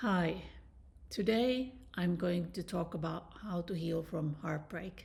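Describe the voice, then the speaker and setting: Very slowly, a woman speaks with vocal fry. Her pitch is fairly low and varies in an ordinary way. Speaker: dating and relationship coach. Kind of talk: personal story to camera.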